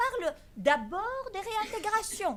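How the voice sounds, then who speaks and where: With a Greek accent, a woman talks in very wide pitch swings. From Greece. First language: Greek (speaking French). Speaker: law professor. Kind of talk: conference talk. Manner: hesitant, many fillers.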